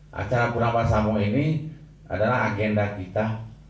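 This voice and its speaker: Amid noticeable background noise and audible room echo, a man with a fairly low voice talks at a moderate pace with ordinary pitch variation. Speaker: event organizer. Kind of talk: formal speech.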